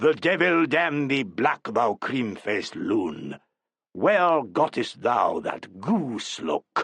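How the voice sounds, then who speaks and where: A man's put-on character voice, fairly high in pitch with very wide pitch swings, very slow, and dry and close with no echo. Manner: theatrical.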